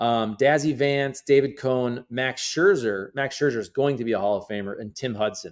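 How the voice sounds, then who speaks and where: A man talks in an unremarkable speaking voice with ordinary pitch variation. The recording is very clean, with a silent background. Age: 40s. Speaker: sports podcaster. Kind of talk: casual commentary monologue.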